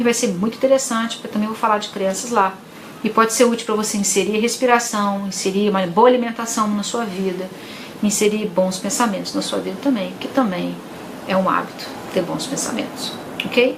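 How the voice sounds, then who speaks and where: Over noticeable background noise and audible room echo, a woman talks fairly quickly in a fairly high voice with fairly even intonation. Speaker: psychologist. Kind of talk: live stream talk to viewers. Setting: live stream.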